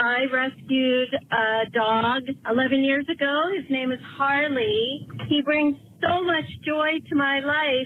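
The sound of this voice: A woman's high-pitched voice at a slow pace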